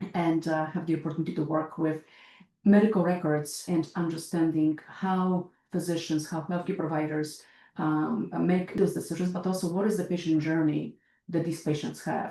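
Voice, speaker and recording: With a Polish accent, a woman speaks at a moderate pace in a dark, mellow tone, her fairly low pitch held in a monotone, flat intonation. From Poland. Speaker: healthcare researcher. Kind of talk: podcast interview. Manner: hesitant, many fillers.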